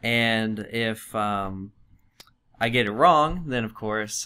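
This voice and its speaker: A man's bright, sharp tone against a quiet background. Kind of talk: casual comedic quiz chat. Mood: playful, laughing. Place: studio. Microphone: studio mic.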